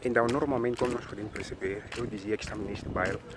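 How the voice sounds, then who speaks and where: Over noticeable background noise, a man with a Mozambican accent talks at a fairly quick pace. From Mozambique. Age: 20s. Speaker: YouTuber. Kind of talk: walking vlog narration. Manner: hesitant, many fillers.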